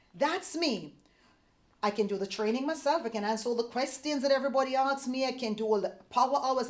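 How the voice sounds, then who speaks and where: This woman talks at a very fast pace in an animated tone with ordinary pitch variation. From Jamaica. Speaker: sales leader. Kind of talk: motivational talk.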